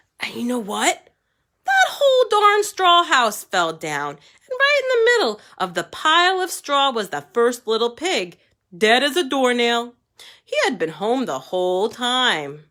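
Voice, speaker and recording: Speaking at a fairly slow pace, a man uses a put-on character voice with an extremely high pitch. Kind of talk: storytime read-aloud for kids. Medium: read story. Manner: conversational, wheedling.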